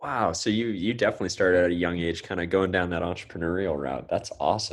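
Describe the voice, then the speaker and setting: A man with a Californian accent speaks very fast in a very deep, low voice. His pitch varies in an ordinary way, and the background is quiet. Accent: Californian American. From US West Coast, Santa Cruz. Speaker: podcast host. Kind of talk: podcast interview.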